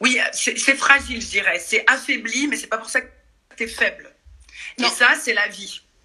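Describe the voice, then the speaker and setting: A woman speaks in a raised, projected voice with a bright, sharp tone and high pitch. Her loudness swings a lot, and she leaves long, frequent pauses. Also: ordinary pitch variation. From Paris suburbs, France. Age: 40s. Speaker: dance and fitness workshop leader. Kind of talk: casual chat. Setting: video call.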